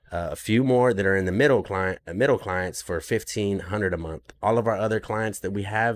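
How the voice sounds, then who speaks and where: With fairly even intonation and a very deep, low pitch, a man talks at a moderate pace on a very clean recording with a silent background. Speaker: podcast host and business owner. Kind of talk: live Q&A monologue. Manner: halting, many fillers.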